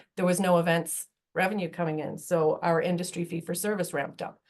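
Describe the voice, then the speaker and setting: A woman speaks at a fairly quick pace in a normal speaking voice, her medium pitch held to a fairly even intonation. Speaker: energy industry association president. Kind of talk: webinar presentation. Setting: online webinar.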